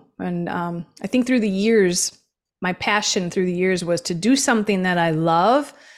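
Her pitch medium and her intonation fairly even, a woman speaks in a plain, everyday voice. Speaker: small business founder and business acquisition advisor. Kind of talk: interview. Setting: video call.

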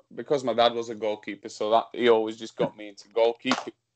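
In a Slovak accent, a man talks at a fairly quick pace with medium pitch and monotone, flat intonation. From Slovakia. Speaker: professional football goalkeeper. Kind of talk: interview. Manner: hesitant, many fillers.

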